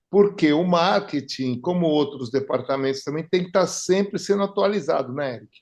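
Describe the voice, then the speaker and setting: An unremarkable speaking voice from a man, fairly high in pitch, lively in intonation, at a moderate pace with hardly any pauses and big swings in loudness. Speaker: podcast host. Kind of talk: casual interview chat. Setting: home studio.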